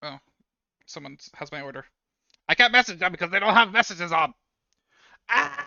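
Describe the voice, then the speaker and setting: The pace is fairly quick. Long pauses come often. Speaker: 3D artist streamer. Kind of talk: livestream tutorial commentary. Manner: mumbling.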